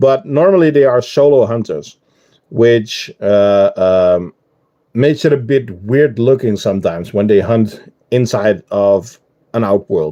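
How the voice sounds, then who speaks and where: A medium-pitched male voice with a Dutch accent, dark and mellow, at a fairly slow pace with lively intonation. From Netherlands. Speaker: ant keeper streamer. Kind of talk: live stream chat. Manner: casual, hesitant with fillers.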